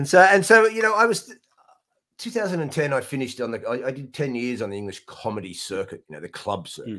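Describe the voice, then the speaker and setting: A man's fairly high, bright, sharp voice at a fairly quick pace, with very wide pitch swings and big swings in loudness against a quiet background. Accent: Australian. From Australia. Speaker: comedian. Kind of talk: casual chat. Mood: relaxed, amused. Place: home room.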